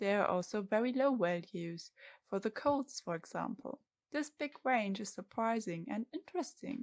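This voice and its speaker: Lively intonation marks this woman's fairly high-pitched, moderately paced speech in an ordinary speaking voice. Her recording is very clean, with a silent background. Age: 20s. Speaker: PhD student. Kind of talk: scripted narration.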